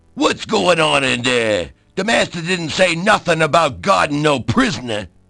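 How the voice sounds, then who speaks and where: In a put-on character voice, a man rumbles at a fairly high pitch and a moderate pace. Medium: video game. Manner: grumbling, ungrammatical.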